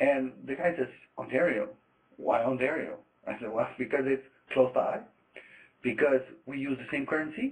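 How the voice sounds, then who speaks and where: A man speaks with a Quebec accent. His pace is moderate. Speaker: trade trainer, former trader. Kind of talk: lecture. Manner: hesitant, many fillers.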